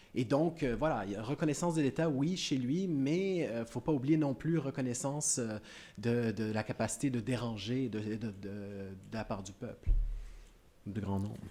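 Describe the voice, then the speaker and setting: A man's medium-pitched voice, dark and mellow in tone, lively in intonation, at a moderate pace. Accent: Canadian French. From Canada. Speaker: academic speaker. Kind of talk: panel discussion answer. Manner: halting, many repetitions.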